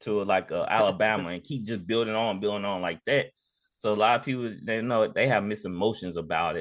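A man's normal speaking voice, fairly low in pitch, at a fairly quick pace with fairly even intonation over a quiet background. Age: 30s. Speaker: sports podcast host. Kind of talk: casual chat.

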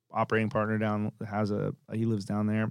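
A man with an American accent talks at a fairly quick pace in a fairly low pitch. The recording is very clean, with a silent background. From Tampa, Florida, US. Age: 40s. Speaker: restaurant founder and CEO. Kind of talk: casual interview. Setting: studio.

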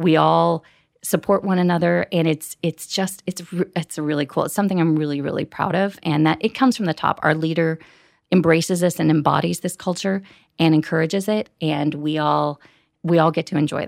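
A woman speaks fairly quickly in a normal speaking voice with an American accent, fairly low in pitch with fairly even intonation. The sound is dry and close with no echo, and the recording is very clean with a silent background. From US Midwest. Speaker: corporate event manager. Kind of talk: interview.

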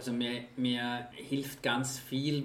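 A man speaks at medium pitch in a monotone, flat intonation. Audible room echo and noticeable background noise are in the recording. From Austria, Vienna. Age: 40s. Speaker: charity executive. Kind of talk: interview. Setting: office.

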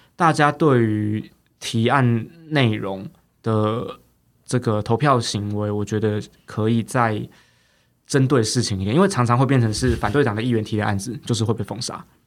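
A man's normal speaking voice at medium pitch, moderate pace and ordinary pitch variation, in a very clean recording with a silent background. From Taiwan, Taipei. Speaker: county councillor. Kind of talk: interview.

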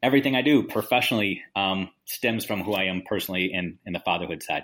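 A man with an ordinary speaking voice talks at a fairly quick pace and fairly low pitch, with ordinary pitch variation, in a very clean recording with a silent background. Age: 40s. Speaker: educator, author and speaker. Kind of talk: interview.

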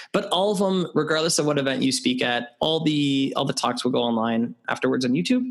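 Speaking with a Canadian accent, a man talks at a fairly quick pace with hardly any pauses and very even loudness. His pitch is fairly high with very wide swings, over noticeable background noise. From Canada. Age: 30s. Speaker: TEDx event organizer and speaker coach. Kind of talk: interview conversation.

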